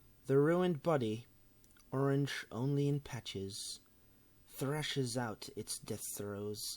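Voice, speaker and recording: Lively intonation marks a man's voice as he speaks at a very slow pace. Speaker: video game commentator. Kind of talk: horror story narration.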